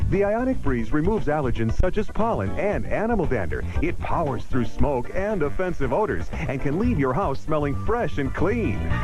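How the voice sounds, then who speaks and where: With music in the background, a man with a fairly high pitch and very wide pitch swings speaks at a moderate pace with hardly any pauses. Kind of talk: TV commercial voiceover.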